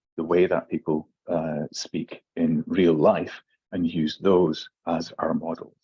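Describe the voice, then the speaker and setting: A man with a slight Scottish accent is heard in a dry, close sound with no echo. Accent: mild Scottish. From Scotland, Aberdeen. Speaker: English language teacher trainer. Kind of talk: webinar presentation. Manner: hesitant, many fillers.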